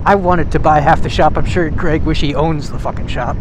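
A man speaks at a moderate pace over noticeable background noise. The sound is dry, with no echo. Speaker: vlogger. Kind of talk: casual vlog chat. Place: motorbike.

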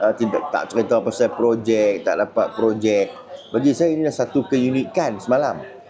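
Lively intonation from a medium-pitched man at a moderate pace, with very even loudness and noticeable background noise. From northern Malaysia. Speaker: political content creator and party candidate. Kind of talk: casual vlog monologue. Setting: airport. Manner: halting, filler-heavy.

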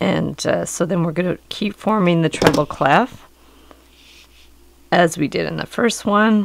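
A woman speaks at a fairly low pitch with ordinary pitch variation and vocal fry. Her pace is fairly slow, with long, frequent pauses. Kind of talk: tutorial. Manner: casual.

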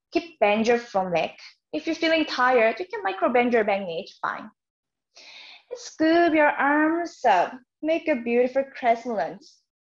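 A woman speaks at a high pitch with a Korean accent, her pitch swinging very widely. Her loudness rises and falls sharply against a quiet background. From South Korea. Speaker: yoga teacher. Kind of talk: guided yoga class. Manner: slow, calm instruction. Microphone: camera far.

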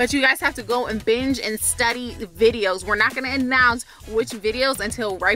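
Faint music plays behind a woman who talks at a moderate pace with hardly any pauses and ordinary pitch variation, the sound dry with no echo. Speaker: vlogger. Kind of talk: casual vlog chat. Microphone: phone near.

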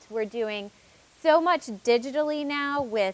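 A woman talks with ordinary pitch variation. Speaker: panel moderator. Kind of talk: panel introduction. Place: stage. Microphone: lapel.

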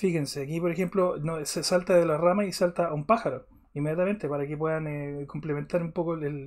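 A man with a Chilean accent at a fairly quick pace, against a quiet background. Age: 40s. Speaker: art teacher. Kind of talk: online class. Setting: live stream. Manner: halting. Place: home room.

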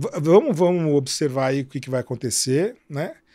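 A man's dark, mellow voice. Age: 60s. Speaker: travel writer and website owner; travel website creator, podcast guest. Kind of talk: interview. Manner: halting, many repetitions. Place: studio. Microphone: studio mic.

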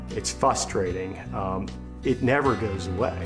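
Clear music runs behind a man as he talks. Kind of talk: interview answer. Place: home room.

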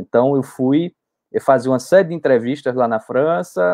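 Medium-pitched male speech at a moderate pace against a quiet background, with ordinary pitch variation. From Brazil, Pernambuco sertão (Arcoverde). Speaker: history professor. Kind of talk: interview. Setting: online live stream. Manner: halting, many fillers. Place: home room. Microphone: video call.

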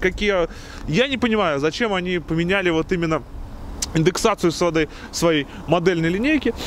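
A man's fairly quick, lively speech, dry with no echo, over light background noise. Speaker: car reviewer. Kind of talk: car review commentary. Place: street.

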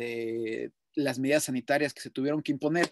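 Over a quiet background, a man speaks at a moderate pace with fairly even intonation, and the sound is dry with no echo. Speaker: radio show host. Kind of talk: radio commentary. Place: home room. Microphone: webcam.

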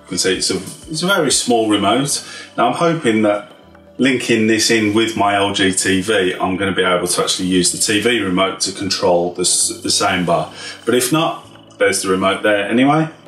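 A man's fairly low voice at a moderate pace, with audible room echo and faint music in the background. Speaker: tech reviewer. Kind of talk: unboxing tutorial. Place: office.

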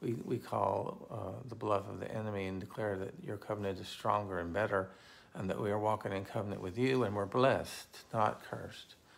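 Speaking at a fairly quick pace, a man keeps his fairly low voice fairly even in intonation. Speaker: pastor. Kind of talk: fervent intercessory prayer. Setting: online video to a live audience of viewers. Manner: earnest, passionate, declaring; informal, chatty. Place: home room. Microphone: phone near.

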